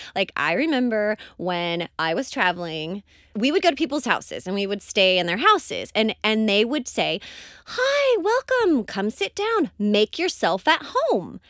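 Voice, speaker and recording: Speaking at a fairly slow pace, a woman has an Oklahoma accent. The sound is dry and close with no echo. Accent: Oklahoma American. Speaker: podcast co-host. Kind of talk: casual chat. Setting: studio.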